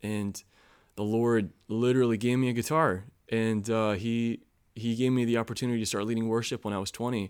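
This is an ordinary speaking voice from a man at a medium pitch. He talks at a fairly quick pace in a very clean recording with a silent background. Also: fairly even intonation. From US Midwest, Chicago. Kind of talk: casual chat.

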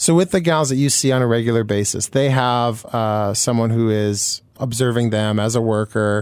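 With a Canadian accent, a man talks in an unremarkable speaking voice, hardly pausing, with ordinary pitch variation and very even loudness. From Manitoba, Canada. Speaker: radio co-host. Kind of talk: radio interview. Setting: radio studio.

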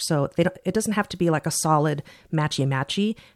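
A woman's ordinary speaking voice, fairly low in pitch with ordinary pitch variation, dry and close with no echo, in a very clean recording with a silent background. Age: 50s. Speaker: watch podcast co-host. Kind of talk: casual chat.

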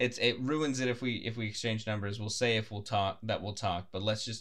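The speaker is a man. His pitch falls in the medium range. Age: 20s. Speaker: podcast co-host. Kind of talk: casual chat. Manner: fast.

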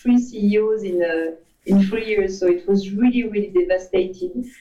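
With a French accent, a woman speaks in a dark, mellow tone. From France. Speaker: advertising agency CEO. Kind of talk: interview.

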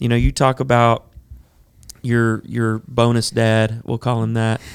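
Speaking at a fairly slow pace, a man with an ordinary speaking voice keeps to a medium pitch. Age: 30s. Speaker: podcast host. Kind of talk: casual interview.

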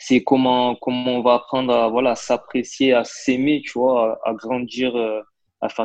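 Flat, monotone male speech, fairly slow in pace. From Marseille, southern France. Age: 20s. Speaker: interpreter. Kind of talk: casual interview conversation. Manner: hesitant, many fillers and repetitions.

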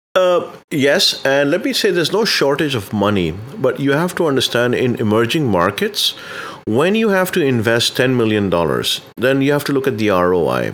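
A man speaks at a moderate pace with very wide pitch swings. Noticeable background noise runs underneath. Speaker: banking and payments consultant. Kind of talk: interview.

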